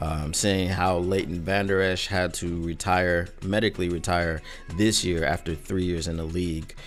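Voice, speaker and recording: Very deep, low-pitched man with monotone, flat intonation at a moderate pace, with music in the background and audible room echo. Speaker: sports podcaster. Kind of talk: casual podcast commentary. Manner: filler-heavy, um and uh.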